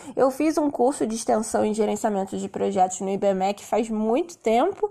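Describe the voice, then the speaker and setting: A woman's fairly high voice at a moderate pace, an unremarkable speaking voice. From Rio de Janeiro, Brazil. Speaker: English teacher and podcast host. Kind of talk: solo podcast monologue.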